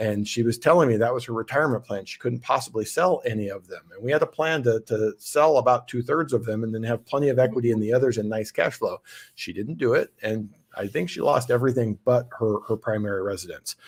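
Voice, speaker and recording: Very fast, somewhat breathy speech with an American accent and ordinary pitch variation. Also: man, medium pitch for a man. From Southern California. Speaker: podcast host. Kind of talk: casual chat. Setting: video call.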